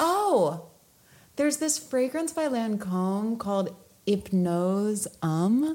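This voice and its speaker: Somewhat breathy and dark, mellow in tone, a woman at medium pitch lets her voice move through very wide pitch swings. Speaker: podcast co-host. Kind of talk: casual chat.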